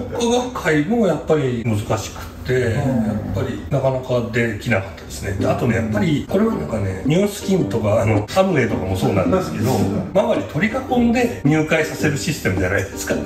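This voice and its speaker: A man at a fairly quick pace, over loud background noise. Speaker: guest. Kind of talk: talk show conversation. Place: home room.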